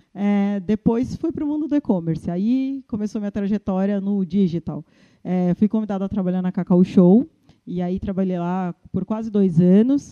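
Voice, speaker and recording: A woman's dark, mellow tone at a medium pitch and moderate pace, with ordinary pitch variation, a dry, close sound with no echo, and a quiet background. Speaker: Instagram influencer and e-commerce manager. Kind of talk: interview. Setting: recorded at an agency. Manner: animated.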